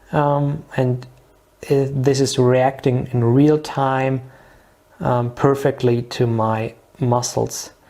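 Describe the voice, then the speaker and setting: The speaker has a non-native accent and talks at a very slow pace. Noticeable background noise runs underneath. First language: not English. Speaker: product demonstrator. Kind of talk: product demonstration tutorial. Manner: halting, many fillers.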